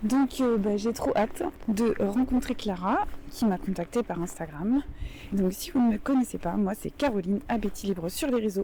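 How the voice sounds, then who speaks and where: Over noticeable background noise, a woman speaks fairly slowly with a fairly high pitch and lively intonation. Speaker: food and lifestyle youtuber hosting guests. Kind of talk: casual chat. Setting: outdoors walking then in a restaurant. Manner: hesitant with many fillers.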